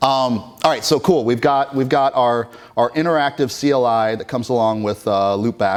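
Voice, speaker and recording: This man has a plain, everyday voice at a medium pitch. He talks at a moderate pace with ordinary pitch variation. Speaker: conference speaker. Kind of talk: conference tech talk.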